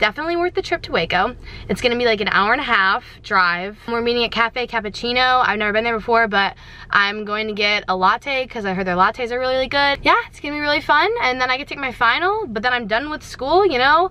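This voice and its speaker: Very fast and high-pitched, a woman speaks with lively intonation in an American accent. Noticeable background noise runs underneath. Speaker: vlogger. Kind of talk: casual vlog chat. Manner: animated.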